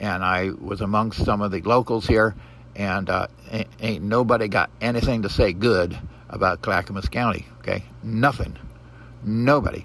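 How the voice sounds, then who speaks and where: A man with an American accent and a fairly low pitch talks at a moderate pace, his intonation lively and his voice showing vocal fry. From Pacific Northwest US (Portland, Oregon). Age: 70s. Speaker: vlogger. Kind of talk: casual monologue. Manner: halting, many fillers.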